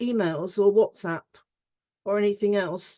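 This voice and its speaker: A woman with a British accent and a dark, mellow tone is heard in a dry, close sound with no echo. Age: 70s. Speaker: conference session chair. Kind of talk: conference moderation. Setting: online conference.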